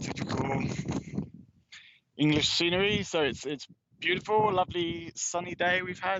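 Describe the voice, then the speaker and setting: Pitched high, a man speaks at a moderate pace with long, frequent pauses. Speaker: travel vlogger touring ancient sites. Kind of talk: live-streamed outdoor tour commentary. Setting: outdoors on a steep hillside. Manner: casual with frequent fillers and restarts.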